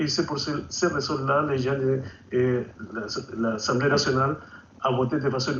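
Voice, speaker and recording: A man's somewhat breathy, medium-pitched voice with fairly even intonation and audible room echo. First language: Spanish (speaking French). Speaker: author and activist. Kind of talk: TV interview.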